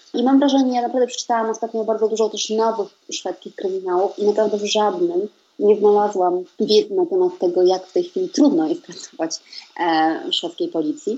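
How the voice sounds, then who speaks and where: A woman talks in a plain, everyday voice at a fairly quick pace. Her pitch sits fairly high, with lively intonation. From Poland. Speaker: writer and translator. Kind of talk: interview.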